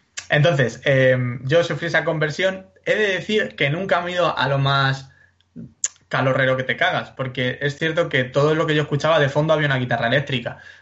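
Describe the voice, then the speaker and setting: Using an ordinary speaking voice, a man talks at a fairly high pitch and fairly quick pace with ordinary pitch variation. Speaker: podcast co-host. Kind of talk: casual chat. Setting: recording from home during quarantine.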